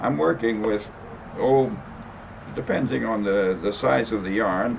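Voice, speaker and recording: Noticeable background noise sits behind a fairly slow voice with lively intonation. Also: man. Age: 80s+. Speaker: rug maker. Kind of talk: casual demonstration talk to camera. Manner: halting, hesitant.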